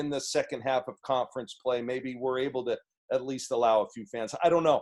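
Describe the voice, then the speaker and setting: At a moderate pace, a man talks at a fairly high pitch with ordinary pitch variation. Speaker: basketball coach. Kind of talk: press conference. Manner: halting.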